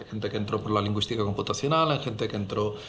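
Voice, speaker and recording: A man with a Catalan accent, with audible room echo. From Catalonia, Spain (Barcelona). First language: Catalan (speaking Spanish). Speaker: head of translation program, professor. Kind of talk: panel discussion. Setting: university auditorium.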